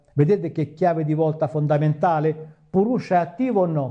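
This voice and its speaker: This man's tone is dark and mellow. He keeps to a moderate pace. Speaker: yoga teacher. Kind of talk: lecture. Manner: halting.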